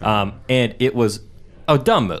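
Here is a man with a plain, everyday voice at a medium pitch. His pitch variation is ordinary. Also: very clean recording, silent background. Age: 20s. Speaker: podcast co-host. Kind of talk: casual chat.

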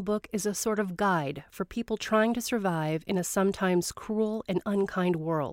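In a normal speaking voice, a woman talks at a medium pitch and a moderate pace with ordinary pitch variation. The recording is very clean with a silent background and a dry, close sound with no echo. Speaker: radio host. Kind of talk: scripted narration.

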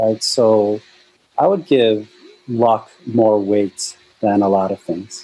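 Very slowly and with long, frequent pauses, a man speaks in a fairly low voice with fairly even intonation. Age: 40s. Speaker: venture capital investor and startup founder. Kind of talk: interview.

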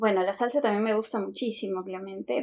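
A woman speaks at medium pitch with ordinary pitch variation. She has a normal speaking voice. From Lima, Peru. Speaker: Spanish teacher, podcast co-host. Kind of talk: casual language-learning conversation.

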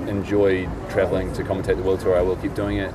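Speaking very fast with a New Zealand accent, a man with a very deep, low voice is heard over noticeable background noise. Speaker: ski film maker. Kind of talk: casual interview.

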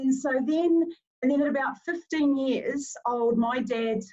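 A woman talks with a New Zealand accent. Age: 40s. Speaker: movement specialist. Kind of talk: casual chat.

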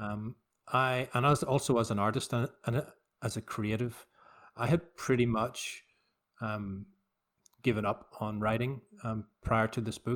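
A man with a Northern Irish accent talks at a fairly slow pace with long, frequent pauses. His voice sits at medium pitch with fairly even intonation. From Northern Ireland, Belfast. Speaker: novelist. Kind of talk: remote interview. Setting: remote call.

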